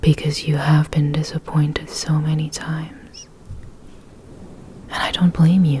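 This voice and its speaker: Against noticeable background noise, a soft-spoken woman talks in a calm tone at a fairly slow pace. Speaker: ASMR creator. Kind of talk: ASMR personal attention talk to help relax and sleep. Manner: soft-spoken, calm.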